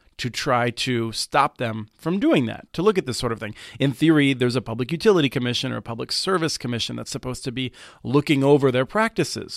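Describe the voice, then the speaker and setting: Captured in a very clean recording with a silent background, a man with a plain, everyday voice and a medium pitch speaks at a fairly quick pace with ordinary pitch variation. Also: dry, close sound with no echo. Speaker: broadband policy expert, co-host. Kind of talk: casual banter and discussion. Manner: joking, humorous.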